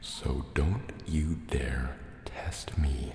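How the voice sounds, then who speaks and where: A man with a very deep, low voice speaks in a theatrical tone amid noticeable background noise. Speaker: ASMR creator. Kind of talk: asmr roleplay, whispered in-character monologue as a menacing sea serpent dragon. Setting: cave with water sounds. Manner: soft-spoken, slow, suspicious, theatrical.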